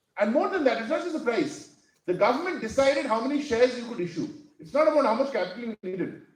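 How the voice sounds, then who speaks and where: With very wide pitch swings and big swings in loudness, a man speaks at an extremely high pitch and a very fast pace amid audible room echo. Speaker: academic keynote speaker. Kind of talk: conference keynote talk. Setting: stage with audience. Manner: halting, many fillers.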